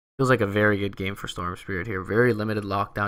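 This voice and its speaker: A man with a strong Canadian accent speaks at a fairly low pitch in a bright, sharp tone. The recording is very clean with a silent background. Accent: thick Canadian. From Canada. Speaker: esports caster. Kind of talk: live commentary.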